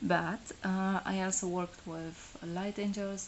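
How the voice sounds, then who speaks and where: A woman speaks in a Polish accent at a fairly slow pace. Her intonation is monotone and flat. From Poland. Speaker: tarot reader. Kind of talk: live stream monologue. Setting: solo live stream. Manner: halting, many fillers.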